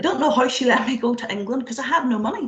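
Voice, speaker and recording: At a very fast pace, a woman with a Northern Irish accent speaks in a high pitch with ordinary pitch variation over noticeable background noise. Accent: Derry Northern Irish. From Northern Ireland, Derry. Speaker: tech engineering manager, speaker. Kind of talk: motivational talk. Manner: animated, conversational. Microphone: fragile internet connection.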